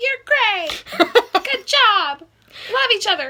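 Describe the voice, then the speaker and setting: A woman uses a put-on character voice, squeaky and at an extremely high pitch. Her speech goes at a very slow pace. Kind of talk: little ladylike voice. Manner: sweet, gushing, sing-song.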